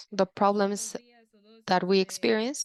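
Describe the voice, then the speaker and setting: A woman speaks at a medium pitch in a monotone, flat delivery, recorded with a dry, close sound and no echo. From Nicaraguan Caribbean coast. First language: Miskito. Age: young. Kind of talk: panel presentation. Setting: video call.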